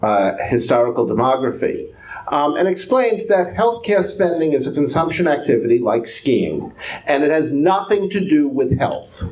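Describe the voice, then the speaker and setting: A man with a New York accent speaks at a moderate pace, with a fairly high pitch, very wide pitch swings and very even loudness. Audible room echo and noticeable background noise are present. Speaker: economics professor. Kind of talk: lecture. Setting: public talk with audience.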